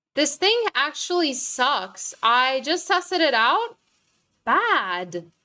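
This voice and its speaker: At a very slow pace, a woman projects a raised, bright, sharp voice at a high pitch with very wide pitch swings. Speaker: gaming streamer. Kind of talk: gameplay commentary. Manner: casual, filler-heavy.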